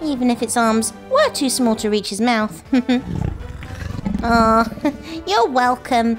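A cartoonish character voice speaks at a fairly high pitch and a fairly slow pace. Clear music plays in the background. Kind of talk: children's show talk to camera. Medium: puppet. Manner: excited, upbeat.

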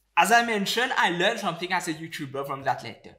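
The speech moves at a fairly quick pace. Faint music sits in the background. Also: man. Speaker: investing YouTuber. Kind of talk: educational commentary to camera. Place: home room.

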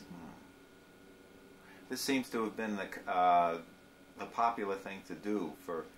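A man's fairly low voice with ordinary pitch variation, big swings in loudness, long and frequent pauses, and light background noise. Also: fairly slow pace. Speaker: interviewer. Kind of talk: interview questions. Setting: living room. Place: home room. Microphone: old recording.

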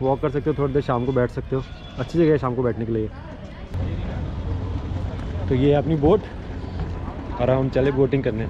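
The sound of this man's voice is dry with no echo, though there is noticeable background noise. His pitch varies in an ordinary way. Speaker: travel vlogger. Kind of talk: casual vlog chat. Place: waterside. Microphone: phone near.

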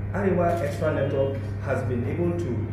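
A man amid strong room echo and noticeable background noise. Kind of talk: formal address at meeting. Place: meeting room.

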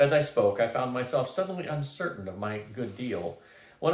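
This is someone reading aloud. The voice sounds natural.

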